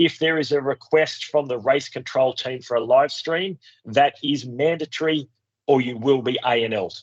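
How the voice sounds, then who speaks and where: Speaking with a strong Australian accent, a man uses ordinary pitch variation. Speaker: race organiser. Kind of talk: pre-race briefing with Q&A. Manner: casual, hesitant with fillers.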